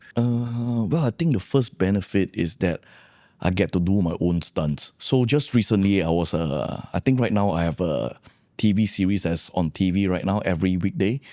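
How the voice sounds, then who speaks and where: A man with a very deep, low pitch and dark, mellow tone speaks at a moderate pace with lively intonation and very even loudness. The recording is very clean with a silent background and a dry, close sound with no echo. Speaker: actor and martial artist. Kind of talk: podcast interview.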